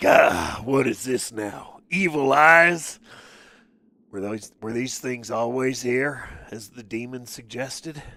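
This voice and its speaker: A raspy, put-on character voice moves at a fairly slow pace. Its loudness swings widely. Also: man, medium pitch for a man. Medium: game stream. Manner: blunt, gruff.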